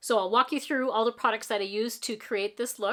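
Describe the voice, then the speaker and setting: Hers is a plain, everyday voice, a woman's at a fairly high pitch with ordinary pitch variation. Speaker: makeup tutorial creator. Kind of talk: casual talk to camera.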